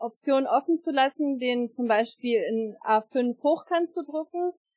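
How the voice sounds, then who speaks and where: Very slowly, a woman speaks in a high voice. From Lower Saxony, Germany (Einbeck). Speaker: scout leader and songbook editor. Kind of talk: casual interview. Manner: hesitant, many fillers.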